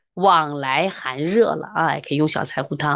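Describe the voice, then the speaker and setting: Animated, fairly slow female speech against a quiet background. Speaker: traditional Chinese medicine teacher. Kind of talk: online lecture with live chat.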